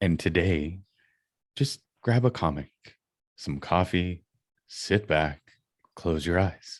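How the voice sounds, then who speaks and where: A man speaks at a very slow pace in a very deep, low voice with ordinary pitch variation and long, frequent pauses, on a very clean recording with a silent background. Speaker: podcast co-host. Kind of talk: casual chat.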